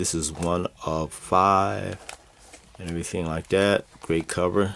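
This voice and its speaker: A man's very deep voice, flat and monotone, over noticeable background noise. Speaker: comics collectibles seller and show host. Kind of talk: casual video show presentation. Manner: halting, many fillers.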